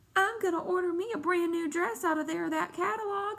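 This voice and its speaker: Using a put-on character voice, a woman speaks at an extremely high pitch. Her pace is fairly quick. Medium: read story. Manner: shrill, squabbling.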